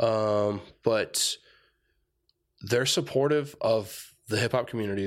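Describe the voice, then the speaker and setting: An American-accented man with a fairly low pitch, an ordinary speaking voice, ordinary pitch variation and a moderate pace, on a very clean recording with a silent background. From Tucson, Arizona. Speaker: hip-hop festival organizer. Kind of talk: casual chat. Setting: studio.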